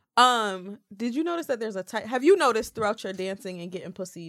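An unremarkable speaking voice moves at a fairly quick pace with lively intonation, recorded very cleanly against a silent background. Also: woman. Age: 20s. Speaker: podcast panelist. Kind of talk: casual chat.

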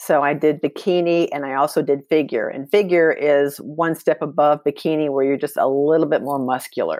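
The speaker has an American accent and keeps a moderate pace with hardly any pauses. Intonation stays fairly even. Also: woman, very deep, low pitch for a woman. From Texas, with childhood years in Germany. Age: 60s. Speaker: fitness athlete and personal trainer. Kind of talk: interview.

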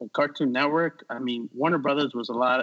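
A man speaks with a New York accent at a moderate pace. His pitch is medium and his intonation fairly even. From New York City. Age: 40s. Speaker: artist and animator. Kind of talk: casual chat.

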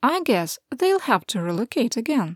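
Recorded very cleanly with a silent background and a dry, close sound with no echo, a woman with a fairly high pitch speaks at a moderate pace. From Ukraine. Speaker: news podcast host. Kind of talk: newsreading, scripted war report. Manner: formal, steady, dry factual delivery; measured and neutral, reading quotes aloud.

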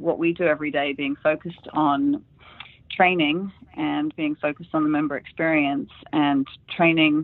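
The voice carries an American accent at a moderate pace. Its intonation is monotone and flat. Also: woman. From England. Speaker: hospitality consultant. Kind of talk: interview.

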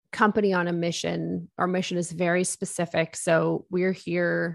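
A woman with a Maritime Canadian accent, fairly low in pitch, against a quiet background. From Nova Scotia, eastern Canada. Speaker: business coach and entrepreneur. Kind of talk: interview.

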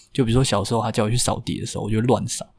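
Somewhat breathy, a man speaks at a medium pitch in a monotone, flat intonation. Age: 20s. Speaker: bartender. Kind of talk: personal life story interview.

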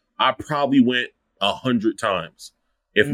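With a slight Lowcountry South Carolina accent, a man speaks using lively intonation. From Charleston, South Carolina. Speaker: food account creator and writer. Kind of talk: casual interview chat.

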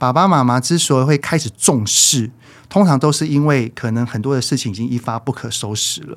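An ordinary speaking voice from a man, medium in pitch, moderate in pace, and ordinary in pitch movement. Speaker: parenting educator. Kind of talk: casual interview chat.

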